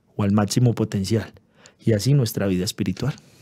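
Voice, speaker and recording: A man's dark, mellow voice at a moderate pace, with ordinary pitch variation and a quiet background. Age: 30s. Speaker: pastor. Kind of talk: interview testimony. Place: studio. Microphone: studio mic.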